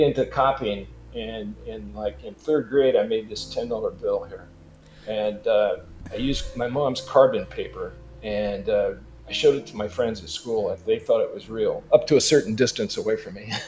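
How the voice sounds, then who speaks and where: Amid noticeable background noise, a man speaks with big swings in loudness. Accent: American. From Los Angeles, California. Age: 70s. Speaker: digital artist. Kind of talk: interview.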